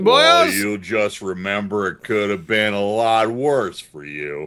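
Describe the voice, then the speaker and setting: A man puts on a drawling character voice, fairly low in pitch and at a fairly slow pace. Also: big swings in loudness. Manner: drawling, slurred.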